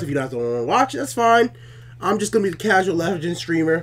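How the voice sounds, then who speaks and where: Amid noticeable background noise, a man talks at a very fast pace in a high pitch with very wide pitch swings. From outside the US. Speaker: gaming YouTuber. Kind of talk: gameplay commentary. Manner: fast when having fun; casual, many fillers.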